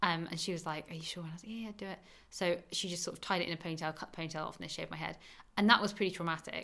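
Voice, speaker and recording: A woman with an English accent speaks very fast in a fairly low pitch. Her tone is bright and sharp, and her intonation stays fairly even. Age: 20s. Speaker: cancer survivor. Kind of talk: interview.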